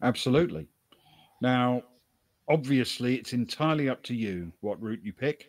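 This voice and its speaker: A man with a British accent talks at a moderate pace and medium pitch, leaving long, frequent pauses, in a dry, close sound with no echo. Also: lively intonation. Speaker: game master of a tabletop role-playing game. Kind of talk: live-streamed tabletop role-playing session, narrating and voicing characters. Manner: voices characters.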